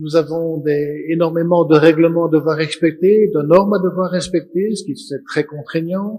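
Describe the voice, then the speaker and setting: This man's voice has a dark, mellow tone and a high pitch, delivered at a fairly slow pace with fairly even intonation. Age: 60s. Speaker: auditor and panelist. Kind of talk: conference panel talk.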